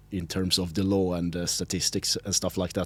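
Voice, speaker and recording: A man speaks with a Swedish accent at a moderate pace. His pitch is very deep and low, and the recording is very clean with a silent background. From Sweden. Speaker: linguist and local politician. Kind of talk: podcast interview. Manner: halting, many fillers.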